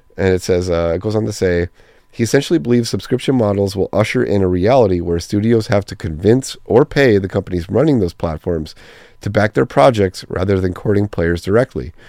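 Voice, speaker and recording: At a fairly quick pace, a man with a fairly low pitch and a dark, mellow tone speaks with ordinary pitch variation, in a dry, close sound with no echo. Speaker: community manager hosting a gaming podcast. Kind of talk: solo podcast monologue. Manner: casual, rambling with fillers.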